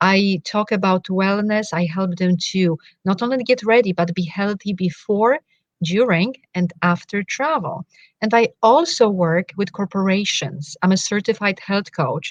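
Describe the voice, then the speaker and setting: At a fairly slow pace, a woman talks in a medium pitch with ordinary pitch variation, in a dry, close sound with no echo. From Poland. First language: Polish. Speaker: wellness coach. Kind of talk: interview.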